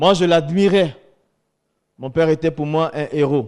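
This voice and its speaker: The man's voice sits fairly high. He talks fairly slowly. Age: 50s. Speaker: former imam giving religious testimony. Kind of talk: testimony.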